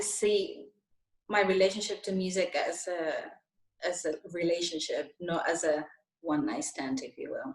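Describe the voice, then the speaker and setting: With a Spanish accent, a woman speaks at a fairly slow pace, using lively intonation, big swings in loudness and long, frequent pauses. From Spain, Madrid. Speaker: soul singer. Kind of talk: interview.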